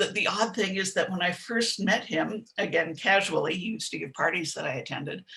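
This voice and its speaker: In a plain, everyday voice, a woman talks fairly quickly at a medium pitch with ordinary pitch variation. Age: 60s. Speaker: writer and sex educator. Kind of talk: interview.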